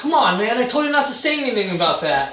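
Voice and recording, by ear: A man's put-on character voice, extremely high-pitched and bright and sharp, fast, with big pitch swings and strong room echo.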